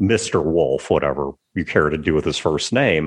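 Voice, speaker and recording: Vocal fry at a moderate pace over a quiet background. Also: man. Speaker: podcast host. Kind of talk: casual chat. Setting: video call.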